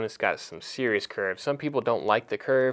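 A man speaks at a fairly quick pace with ordinary pitch variation. The background is quiet. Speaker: knife retailer presenter; presenter. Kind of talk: product review. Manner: halting, many fillers. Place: home room.

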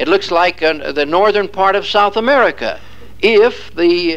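The man's voice is pitched high. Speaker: lecturer. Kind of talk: lecture. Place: classroom.

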